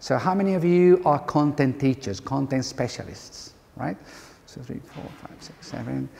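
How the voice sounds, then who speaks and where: A man's fairly high voice with an Andalusian accent, big swings in loudness, ordinary pitch variation, and a moderate pace, set against noticeable background noise. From Andalusia, Spain (Córdoba). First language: Spanish. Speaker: university lecturer, bilingual education trainer. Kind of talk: workshop talk. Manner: halting.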